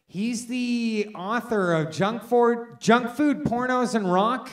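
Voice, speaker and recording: A very slow pace over noticeable background noise. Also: man. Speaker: event host. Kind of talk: introducing a reader at a live event.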